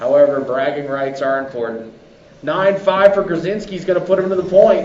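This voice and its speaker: A man talks loudly at a moderate pace, his high voice carrying lively intonation. Noticeable background noise and audible room echo fill the recording. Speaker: race announcer. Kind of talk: live commentary. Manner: animated.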